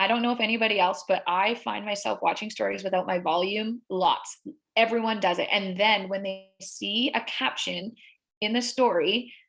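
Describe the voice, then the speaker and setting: A woman speaks in a normal speaking voice at medium pitch, her intonation fairly even. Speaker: social media workshop presenter. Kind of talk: tutorial.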